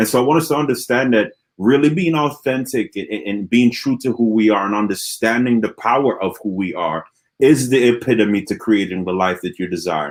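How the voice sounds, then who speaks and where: In an animated tone, a man with a medium pitch speaks at a fairly quick pace with lively intonation. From Antigua and Barbuda. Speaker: motivational speaker. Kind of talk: interview Q&A.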